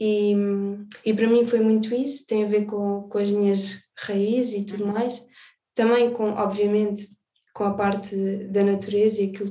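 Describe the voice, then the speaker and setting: The voice is somewhat breathy, with a dark, mellow tone. It moves at a moderate pace with monotone, flat intonation. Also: woman. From Alentejo, Portugal (born in the Azores). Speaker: singer and songwriter. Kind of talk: interview.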